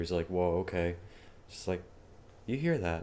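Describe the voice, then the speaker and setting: This man's voice sits at a very deep, low pitch. He keeps a moderate pace. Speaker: programming tutor streamer. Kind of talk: live-streamed coding tutorial with casual chat. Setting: live stream. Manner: casual, filler-heavy; loud. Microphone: new mic, may sound louder.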